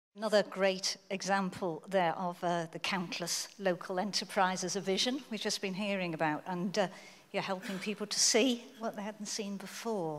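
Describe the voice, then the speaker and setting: The speaker has a Liverpool accent. Intonation stays fairly even. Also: woman, medium pitch for a woman, moderate pace. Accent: Liverpool (Scouse). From Liverpool, England. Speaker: conference interviewer. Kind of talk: onstage interview.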